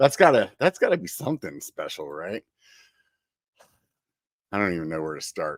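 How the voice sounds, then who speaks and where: Vocal fry runs through this man's voice, and his pitch swings very widely. The recording is very clean and silent behind him, with a dry, close sound and no echo. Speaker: podcast host. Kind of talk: podcast intro. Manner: upbeat.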